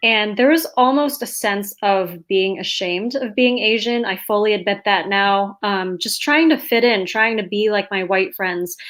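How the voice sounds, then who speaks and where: A woman with an American accent and an unremarkable speaking voice talks at a moderate pace with hardly any pauses, her medium pitch showing ordinary variation. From New York, US. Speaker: author. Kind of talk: panel discussion.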